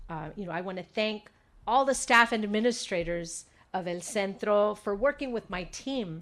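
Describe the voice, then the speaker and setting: Moderate pace, ordinary pitch variation and a Spanish accent. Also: woman. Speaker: state legislator. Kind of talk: press conference speech. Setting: press conference with audience. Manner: frequent fillers (um, uh).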